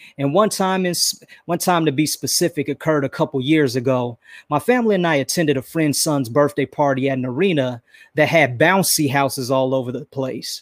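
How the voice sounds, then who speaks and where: A man uses a normal speaking voice, fairly high in pitch with ordinary pitch variation, at a fairly quick pace. The very clean recording has a silent background and a dry, close sound with no echo. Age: 40s. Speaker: podcast host. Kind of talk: solo motivational talk.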